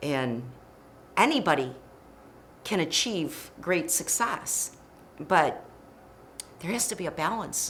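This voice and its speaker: The speaker has an American accent and very wide pitch swings. The pace is very slow with long, frequent pauses, and room echo is audible. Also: woman, fairly low pitch for a woman. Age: 60s. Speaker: podcast host. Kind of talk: casual chat. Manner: animated.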